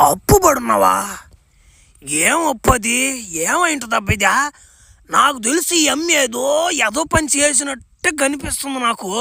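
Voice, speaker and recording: A raspy, high-pitched cartoonish character voice speaks at a very slow pace. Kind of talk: comic overacting.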